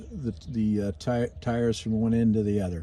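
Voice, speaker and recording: The voice has a dark, mellow tone. Its pitch variation is ordinary. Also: man. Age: 60s. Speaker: RV owner giving maintenance tips. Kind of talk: casual tutorial video. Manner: halting, many fillers.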